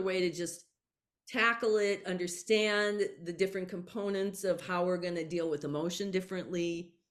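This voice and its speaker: Ordinary pitch variation and a moderate pace from a woman with a plain, everyday voice. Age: 60s. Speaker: author and psychic channel. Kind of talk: interview conversation.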